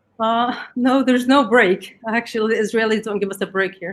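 A woman with an Arabic accent speaks at a fairly high pitch with ordinary pitch variation. The recording is very clean, with a silent background. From Gaza, Palestine. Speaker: writer, mother. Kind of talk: interview.

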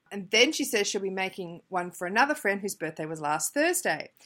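A plain, everyday voice moves along at a fairly quick pace. The recording is very clean, with a silent background. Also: woman. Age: 30s. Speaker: craft podcast host. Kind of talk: casual solo podcast monologue.

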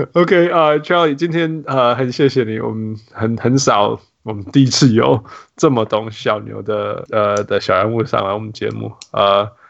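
Here is a man with an ordinary speaking voice at medium pitch. He talks at a moderate pace with lively intonation. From Canada. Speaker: basketball podcast host. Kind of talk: casual chat.

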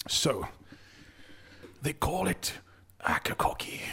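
A whispering, put-on character voice at a fairly slow pace.

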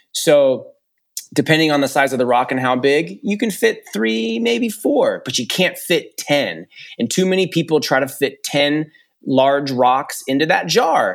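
Very clean with a silent background, this recording features a man with an American accent and a fairly high pitch. He speaks at a fairly slow pace, his tone animated and his intonation lively. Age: 40s. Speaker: education consultant and former principal. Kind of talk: casual chat.

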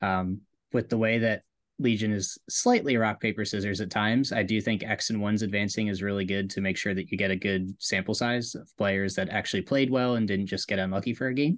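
A man's normal speaking voice, fairly low in pitch, with fairly even intonation, a fairly quick pace and a quiet background. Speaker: podcast co-host. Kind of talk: casual chat.

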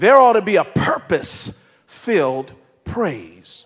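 Animated in tone, a man speaks with lively intonation. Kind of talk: sermon. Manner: fervent, exhorting the congregation directly.

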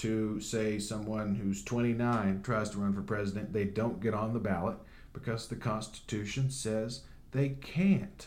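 A man speaks in a dark, mellow tone at a medium pitch. Audible room echo surrounds the voice. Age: 30s. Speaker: podcast host. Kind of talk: casual news commentary.

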